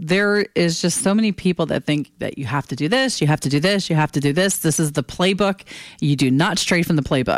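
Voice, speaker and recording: A woman with a plain, everyday voice talks at a fairly quick pace, her pitch fairly low. Her intonation is lively, and the sound is dry and close with no echo. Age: 50s. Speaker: podcast host. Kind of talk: solo monologue.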